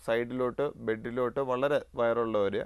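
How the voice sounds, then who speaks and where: Over a quiet background, a man talks in a plain, everyday voice at a medium pitch. His intonation stays fairly even. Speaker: pulmonologist. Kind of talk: TV health interview.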